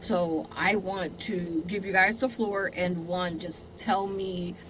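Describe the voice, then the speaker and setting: Over noticeable background noise and audible room echo, a woman with an American accent talks at a very slow pace, with medium pitch and fairly even intonation. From US West, Southern California, Compton. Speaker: podcast host. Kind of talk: casual interview.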